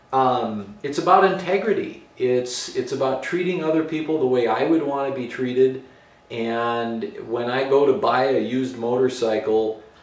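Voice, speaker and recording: There is audible room echo around a man speaking with ordinary pitch variation. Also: moderate pace. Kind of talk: casual vlog chat. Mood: earnest, reflective. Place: garage.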